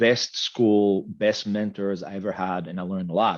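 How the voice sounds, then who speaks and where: A man with an Israeli accent and a fairly low pitch. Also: quiet background. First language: Hebrew. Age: 50s. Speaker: medtech executive. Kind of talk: interview.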